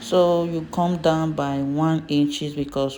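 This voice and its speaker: A woman speaks with a non-native accent in a dark, mellow tone. Her intonation stays monotone and flat. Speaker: fashion design instructor. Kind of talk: tutorial.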